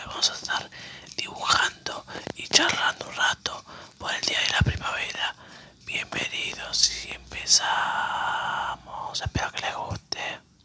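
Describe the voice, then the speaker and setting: The speaker whispers at a very slow pace. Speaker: ASMR creator. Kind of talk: ASMR whispered chat while drawing. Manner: whispered. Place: home room.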